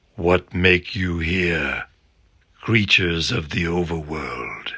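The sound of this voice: A man uses a put-on character voice, raspy and very deep in pitch. He speaks at a very slow pace.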